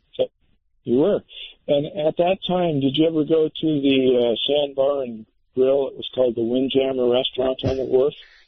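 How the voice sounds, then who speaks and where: A normal speaking voice, this man's is medium in pitch, fairly even in intonation and moderate in pace. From Monterey, California. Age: 60s. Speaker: caller. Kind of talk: call-in radio.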